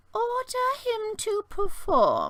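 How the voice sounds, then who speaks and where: A put-on character voice, female-sounding and pitched extremely high. The tone is creaky. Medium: read story. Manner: muttering.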